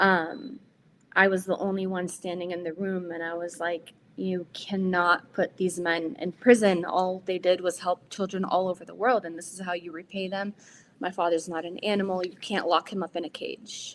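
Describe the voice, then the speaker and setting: A woman with an unremarkable speaking voice at a medium pitch talks at a moderate pace with fairly even intonation and big swings in loudness. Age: 30s. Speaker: activist, daughter of a political prisoner. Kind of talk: testimony. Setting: webinar.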